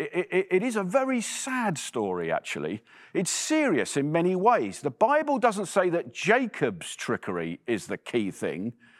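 With an English accent, a man speaks at a moderate pace with hardly any pauses, in a very clean, dry, close recording with a silent background and no echo. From England. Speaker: preacher. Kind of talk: sermon. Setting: church.

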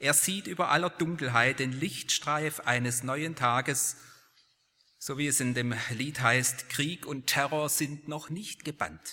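Speaking at a very slow pace, a man has a fairly high pitch, a bright, sharp tone and ordinary pitch variation. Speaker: preacher; lecturer at a university, preacher. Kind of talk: sermon, preacher in full flow, building to a rousing close. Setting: church. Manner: earnest, emphatic, rhetorical, with repeated phrasing.

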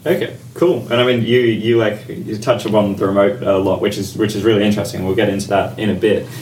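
A man talks at a very fast pace and fairly low pitch, with hardly any pauses. Audible room echo and noticeable background noise surround his voice. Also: ordinary pitch variation. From Australia. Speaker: podcast co-host. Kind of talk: casual chat.

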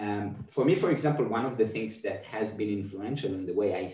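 A man's fairly low, somewhat breathy voice at a fairly quick pace. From Israel. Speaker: movement artist and dancer. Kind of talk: casual chat. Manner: halting.

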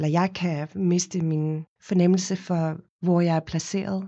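Medium pitch and fairly even intonation from a woman with a normal speaking voice. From South Africa, Cape Town. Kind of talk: interview. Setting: studio.

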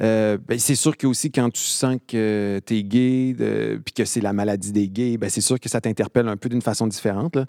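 A man speaks at a moderate pace with hardly any pauses, his tone dark and mellow and his intonation fairly even. The sound is dry and close with no echo, on a very clean recording with a silent background. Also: medium pitch for a man. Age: 40s. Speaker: theatre director. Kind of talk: casual chat. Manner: halting.

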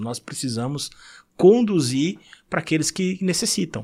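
A man speaks at a moderate pace with a fairly high pitch and very wide pitch swings. The recording is very clean with a silent background. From Brazil, São Paulo city. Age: 50s. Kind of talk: casual chat.

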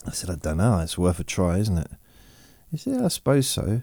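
A man speaks in a relaxed tone with a dark, mellow sound, on a very clean recording with a silent background. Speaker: podcaster who talks listeners to sleep and relaxation. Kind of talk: relaxation talk, slow monologue. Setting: home, dog under the table. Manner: relaxed, rambling, chatty; slow, soothing.

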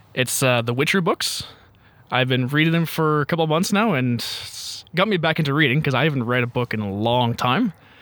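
An ordinary speaking voice with a Canadian accent moves at a fairly quick pace with lively intonation. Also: man, fairly high pitch for a man. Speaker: former student, podcast guest. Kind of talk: casual chat.

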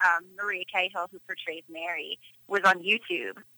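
With an American accent, a woman speaks at a moderate pace in a bright, sharp tone, the sound dry and close with no echo. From Philadelphia, Pennsylvania. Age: 30s. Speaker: photographer. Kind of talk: interview. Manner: hesitant with many fillers.

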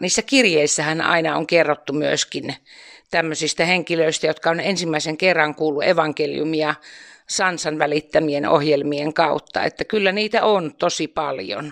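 A woman with a very deep, low pitch talks at a moderate pace with ordinary pitch variation. The sound is dry and close with no echo, over a quiet background. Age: 60s. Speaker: retired nurse, church volunteer. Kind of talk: interview.

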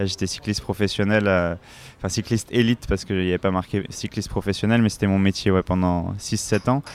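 Fairly quick male speech, pitched fairly low, with monotone, flat intonation. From Paris suburbs, Seine-Saint-Denis (La Courneuve). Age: 30s. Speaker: former pro cyclist, adventurer. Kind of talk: casual interview. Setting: café. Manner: halting, many repetitions.

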